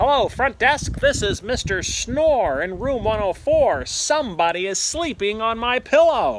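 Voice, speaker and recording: Putting on a character voice, a man speaks at a moderate pace with extremely high pitch and very wide pitch swings. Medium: read story. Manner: grumpy, complaining.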